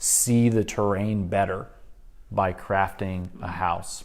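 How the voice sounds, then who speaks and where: A soft-spoken man with a fairly low pitch and ordinary pitch variation talks amid audible room echo. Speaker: church class teacher. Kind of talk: lecture.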